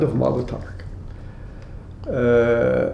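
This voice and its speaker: A man with a German accent is heard with audible room echo and noticeable background noise. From Austria, then Belgium. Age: 80s+. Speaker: Holocaust survivor. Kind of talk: testimony. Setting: at home. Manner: halting.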